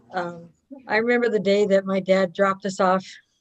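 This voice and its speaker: A woman speaks at a fairly quick pace with a medium pitch. Her intonation is monotone and flat. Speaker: abuse survivor giving testimony. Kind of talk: testimony.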